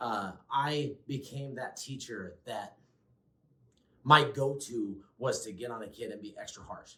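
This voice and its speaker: The man's voice has a bright, sharp tone. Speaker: former teacher, behavior specialist. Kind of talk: casual conversational reflection. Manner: loud.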